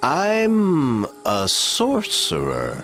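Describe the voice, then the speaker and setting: A man speaks in a put-on character voice. Background noise is clearly audible. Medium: read story. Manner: calm, authoritative.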